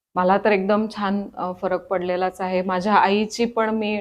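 Monotone, flat intonation in a woman's medium-pitched voice. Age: 40s. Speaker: patient. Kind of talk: testimony.

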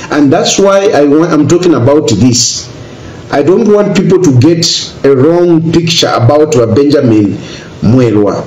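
A man talks at a fairly slow pace, with audible echo from the room. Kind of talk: personal video statement. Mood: earnest, grateful. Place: home room.

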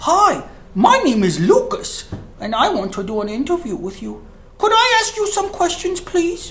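A man uses a cartoonish character voice pitched extremely high. Background noise is clearly heard. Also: moderate pace. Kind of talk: comedic puppet interview. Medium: puppet.

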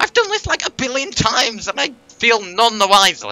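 Noticeable background noise runs under the recording. A man speaks at a high pitch. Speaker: streamer. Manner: frustrated, venting.

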